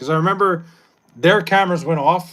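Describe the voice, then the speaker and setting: A man with a New York accent talks at a very fast clip in a high voice, his tone animated and his pitch moving in an ordinary way. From New York, Long Island. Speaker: livestreamer. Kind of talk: casual chat with live chat. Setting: livestream.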